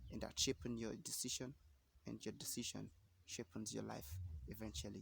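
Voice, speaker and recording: A man's voice with vocal fry and very wide pitch swings, at a moderate pace. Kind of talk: motivational talk to camera. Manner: casual, hesitant.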